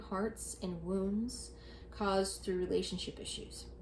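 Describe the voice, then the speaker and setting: A woman talks at a very slow pace. The room echo is audible. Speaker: tarot reader. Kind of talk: tarot reading. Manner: stuttering, halting.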